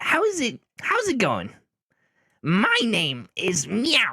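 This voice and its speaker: In a put-on character voice, a man speaks at an extremely high pitch. His pace is very slow. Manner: cartoony.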